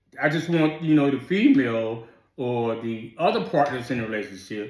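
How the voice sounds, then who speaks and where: This is a man's voice at medium pitch. Audible room echo is present. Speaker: military veteran. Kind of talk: casual chat. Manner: sounds combative to others.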